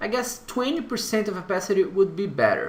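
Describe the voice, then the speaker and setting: In a Brazilian accent, a man talks in a room with audible echo and noticeable background noise. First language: Portuguese. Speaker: tutorial creator. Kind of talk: software tutorial. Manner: halting, hesitant with fillers.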